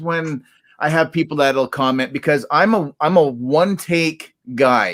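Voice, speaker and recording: In a very clean recording with a silent background, a man with a Canadian accent talks at a fairly slow pace with ordinary pitch variation. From Canada. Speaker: toy collector YouTuber. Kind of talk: casual chat. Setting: live stream. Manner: halting, many ums and ahs.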